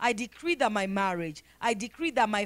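A woman's voice at a moderate pace with lively intonation. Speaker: prayer leader. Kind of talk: congregational prayer; fervent prayer, pleading and rising in intensity. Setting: church. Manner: fervent, emphatic, repeating phrases; earnest, rhythmic, rising in pitch with passion. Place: church. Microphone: handheld.

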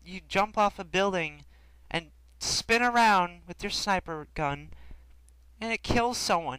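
On a very clean recording with a silent background, a man with a high pitch and a bright, sharp tone projects a raised voice, using ordinary pitch variation and long, frequent pauses. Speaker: gaming commentator. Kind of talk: gameplay commentary with an angry rant about tips-and-tricks videos. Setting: recording over live gameplay. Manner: rapid-fire, indignant, sarcastic, emphatic repetition; animated, mocking, rhetorical questions.

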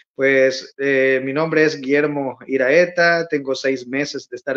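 His very slow, fairly evenly intoned speech comes over a quiet background. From El Salvador, Santiago Texacuangos; El Salvador. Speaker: emigrant content creator. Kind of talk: casual interview. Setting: remote video call. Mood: warm, a bit nostalgic. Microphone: phone near.

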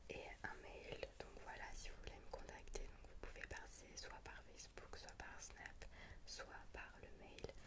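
Through loud background noise, a woman speaks at a fairly slow pace. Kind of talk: casual vlog outro chat. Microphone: studio mic.

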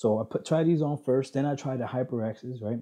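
A man with a dark, mellow tone talks over a quiet background. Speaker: gaming headset reviewer. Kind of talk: casual vlog chat. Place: home room. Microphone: headset.

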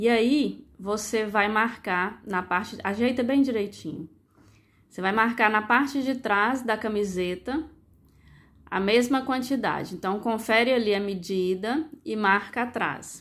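With a Brazilian accent, a woman speaks at a fairly slow pace in a fairly high pitch with ordinary variation, on a very clean recording with a silent background. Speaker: sewing youtuber. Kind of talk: tutorial. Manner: casual instructive.

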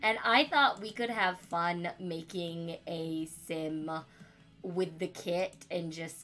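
Over background music, a woman with a fairly low pitch and ordinary pitch variation speaks very slowly. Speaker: gaming YouTuber. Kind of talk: casual gameplay commentary. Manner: casual with many fillers.

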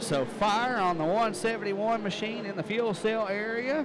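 An animated man with a high pitch and ordinary pitch variation, over noticeable background noise. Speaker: race track announcer. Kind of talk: live race commentary. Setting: speedway PA system. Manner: fast, animated play-by-play, rapid-fire car and turn calls; crowd-pleasing, addresses audience.

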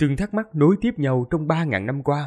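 A man at a moderate pace with very wide pitch swings, against a quiet background. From Vietnam. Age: young. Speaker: audiobook narrator. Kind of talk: reading aloud. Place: home room. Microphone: studio mic.

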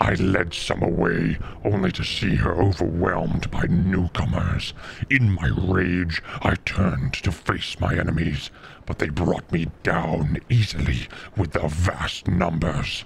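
A man puts on a character voice with a very deep, low pitch. He talks fairly slowly over clear background noise. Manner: pleading.

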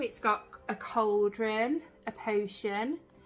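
Noticeable background noise is present throughout. Over it, a woman talks in a fairly high pitch. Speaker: YouTuber doing an unboxing. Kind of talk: unboxing video. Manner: loud.

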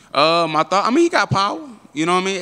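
Talking at a very fast pace, a man uses a bright, sharp tone with ordinary pitch variation. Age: 20s. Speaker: professional MMA fighter. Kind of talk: media interview. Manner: casual, filler-heavy. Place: hall. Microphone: handheld.

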